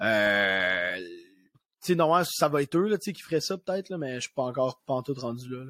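Speaking with a Quebec accent, a man uses a medium pitch and a moderate pace, in an animated, bright, sharp tone with very wide pitch swings. The sound is dry and close, with no echo. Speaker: comedian. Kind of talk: casual chat. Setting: video call.

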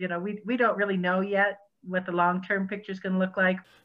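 With a Western US accent, a woman speaks at a moderate pace and medium pitch in a flat, monotone way. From Wyoming, Laramie. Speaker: nonprofit executive director. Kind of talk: interview. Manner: halting, frequent um.

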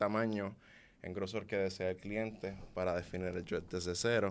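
The intonation is fairly even. The pace is fairly slow. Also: man. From Puerto Rico. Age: 20s. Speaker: loctician. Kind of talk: interview.

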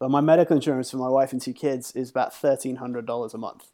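On a very clean recording with a silent background, a man of medium pitch uses a plain, everyday voice at a fairly quick pace. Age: 40s. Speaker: freelance graphic designer and illustrator. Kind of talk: casual chat.

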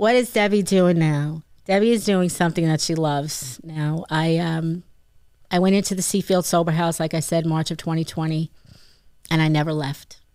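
A woman with a New York accent speaks at a moderate pace in a fairly low voice, her pitch varying in an ordinary way. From Long Island, New York. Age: 50s. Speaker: recovering addict and peer counselor. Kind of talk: testimony.

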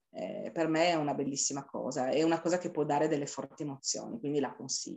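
Delivered at a very fast pace with ordinary pitch variation. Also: woman, very deep, low pitch for a woman. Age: 50s. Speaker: amateur adult dancer. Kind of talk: interview. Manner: halting.

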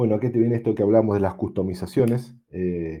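Against a quiet background, a man with an Argentine accent speaks at a fairly quick pace in a fairly low pitch, with a dark, mellow tone and ordinary pitch variation. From Patagonia, Argentina. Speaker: amateur radio operator. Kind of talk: technical presentation.

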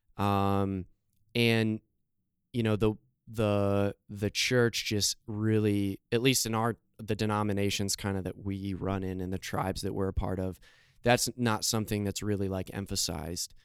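Fairly slow, monotone speech with flat intonation in an American accent, on a very clean recording with a silent background and a dry, close sound with no echo. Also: man, fairly low pitch for a man. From Scranton, Pennsylvania, US. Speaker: youth pastor. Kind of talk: interview. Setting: video recording.

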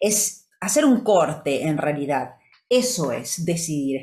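Somewhat breathy, a woman in a Portuguese accent speaks at a fairly slow pace. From Brazil. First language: Portuguese (speaking Spanish). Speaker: podcast co-host, wellness coach. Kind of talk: motivational talk.

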